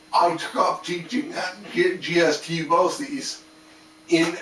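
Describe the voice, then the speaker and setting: Noticeable background noise runs under the recording. A man speaks with a high pitch. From Canada. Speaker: art and game design teacher, video creator. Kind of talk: casual talk to camera. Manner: slow, halting; sped up in editing. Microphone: static-y laptop sound card.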